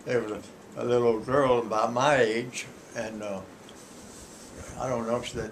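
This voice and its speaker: Over noticeable background noise, a man with an American accent speaks at a medium pitch and moderate pace, monotone and flat, with long, frequent pauses. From Fort Myers, Florida. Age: 80s+. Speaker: grandfather. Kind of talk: telling childhood stories.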